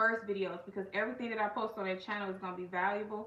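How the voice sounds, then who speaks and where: A female voice of medium pitch comes through audible room echo and noticeable background noise. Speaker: life coach and channel host. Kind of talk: casual livestream talk. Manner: loud; animated.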